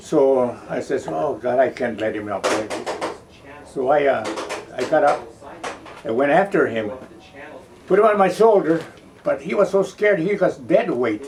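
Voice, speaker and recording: Very wide pitch swings in a fairly high male voice, with noticeable background noise throughout. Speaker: war veteran. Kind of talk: interview answer.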